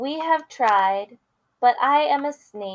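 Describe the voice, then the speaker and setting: Someone puts on a character voice and speaks at a fairly slow pace. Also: woman. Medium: read story.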